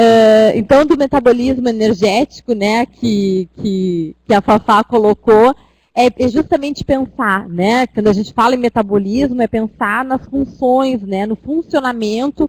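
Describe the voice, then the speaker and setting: Her pitch is fairly high, and this woman talks at a fairly slow pace with hardly any pauses and ordinary pitch variation, in a dry, close sound with no echo. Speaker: university lecturer. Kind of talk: online lecture. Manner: hesitant.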